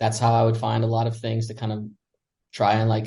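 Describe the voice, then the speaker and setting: A man with an American accent speaks at a medium pitch, his voice somewhat breathy. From United States. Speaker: expat podcast guest. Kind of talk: casual chat.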